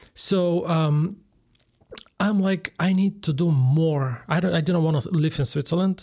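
Here a man with a Bulgarian accent speaks at a moderate pace with a fairly high voice. His loudness stays very even, with ordinary pitch variation. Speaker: general contractor. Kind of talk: interview.

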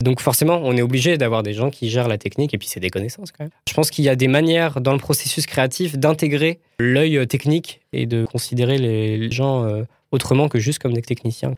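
A man with an unremarkable speaking voice talks at a medium pitch and a fairly quick pace with ordinary pitch variation, in a very clean recording with a silent background. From France, Paris region (Val-d'Oise). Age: 20s. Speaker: film director and art student. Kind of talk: casual interview.

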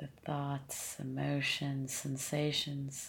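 A woman speaks very slowly in a calm, gentle tone, her voice somewhat breathy with a very deep, low pitch. Her intonation is monotone and flat. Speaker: meditation teacher. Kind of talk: guided meditation. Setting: seated, leading a group practice. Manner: slow, calm, gentle and soothing, with long pauses; soft-spoken, unhurried, compassionate.

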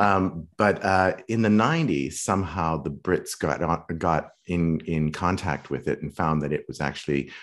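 Over a very clean, silent background, a man talks with vocal fry. His pitch is very deep and low, with ordinary variation. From Western Canada (Saskatoon). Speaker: acting coach. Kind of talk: interview conversation.

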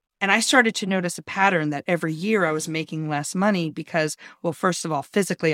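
A woman speaks at a fairly quick pace in an unremarkable speaking voice. The recording is very clean with a silent background and a dry, close sound with no echo. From New York. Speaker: bartender and bar director. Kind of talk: interview conversation.

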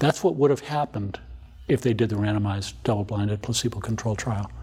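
The voice runs at a very fast pace with ordinary pitch variation, vocal fry and a dark, mellow tone. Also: man. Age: 60s. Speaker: obstetrician and maternal fetal medicine specialist. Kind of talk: interview.

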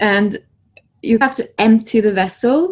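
A woman with a Norwegian accent speaks in a somewhat breathy voice. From Norway. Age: 30s. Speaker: spiritual healer. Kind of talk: casual interview.

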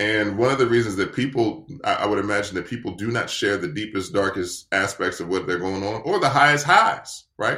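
On a very clean recording with a silent background, a man talks at a fairly quick pace with an American accent. His tone is bright and sharp, his pitch fairly low with ordinary variation. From US East Coast, Washington D.C. area. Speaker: men's coach. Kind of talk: casual interview.

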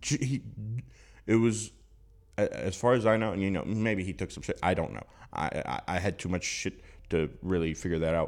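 With a very deep, low pitch and vocal fry, a man talks in a lively intonation, leaving long, frequent pauses on a very clean recording with a silent background. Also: moderate pace. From Louisiana. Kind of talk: casual chat.

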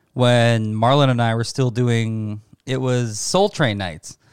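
A man with a Canadian accent at a medium pitch and a very slow pace, on a very clean recording with a silent background. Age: 30s. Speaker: podcast host and bartender. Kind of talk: casual chat.

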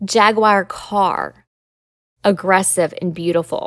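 In a Southern US accent, a woman is talking. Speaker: lawyer and podcast host. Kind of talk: educational solo podcast monologue. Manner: conversational, explanatory.

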